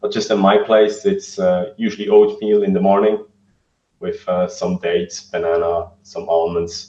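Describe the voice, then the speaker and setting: A non-native accent at a moderate pace. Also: man. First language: not English. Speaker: vegan fitness coach. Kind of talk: interview. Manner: halting, many fillers.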